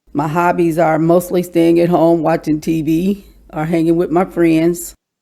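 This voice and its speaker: In a Kentucky accent, a woman speaks at a fairly slow pace with a fairly low pitch, a dark, mellow tone and monotone, flat intonation. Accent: Southern US (Kentucky). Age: 60s. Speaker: podcast guest, department store worker. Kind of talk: casual interview chat.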